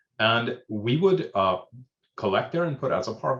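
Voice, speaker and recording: A man with an Indian accent, somewhat breathy and fairly quick, with lively intonation. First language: Hindi. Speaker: emergency manager. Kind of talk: panel discussion. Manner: hesitant, many fillers.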